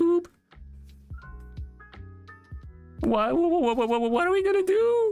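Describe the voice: In a put-on character voice with a nervous, whiny tone, the speaker goes at a fairly slow pace with long, frequent pauses over faint music in the background.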